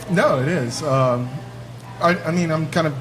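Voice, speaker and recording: Noticeable background noise and audible room echo surround the recording. A man speaks with ordinary pitch variation. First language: Spanish. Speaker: guest on a bar talk show. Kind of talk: casual chat. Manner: halting, many fillers.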